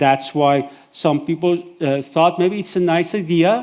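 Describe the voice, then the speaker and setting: Speaking fairly slowly with a non-native accent, a man uses ordinary pitch variation. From Iran. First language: Persian. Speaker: event moderator. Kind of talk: event moderation. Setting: stage with audience. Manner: hesitant, many fillers.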